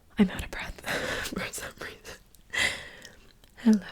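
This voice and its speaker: A woman whispering in a relaxed tone at a fairly slow pace. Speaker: ASMR content creator, travel storyteller. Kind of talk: ASMR yap, casual talk to camera. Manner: soft-spoken, relaxed, chatty.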